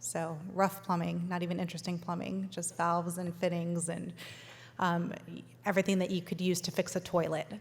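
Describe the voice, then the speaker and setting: A woman's fairly low voice with a West Coast US accent, monotone and flat, with vocal fry at a moderate pace. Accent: General American (West Coast). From Los Angeles, US. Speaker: food company founder. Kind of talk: keynote speech.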